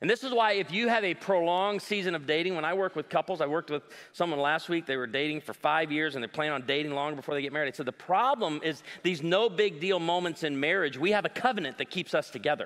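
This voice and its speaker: A man with a fairly high voice talks at a very fast pace in an animated, playful tone, with ordinary pitch variation and hardly any pauses. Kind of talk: stand-up-style comedy in a sermon, with jokes and crowd work. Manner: animated, playful, self-deprecating storyteller with punchlines and audience banter.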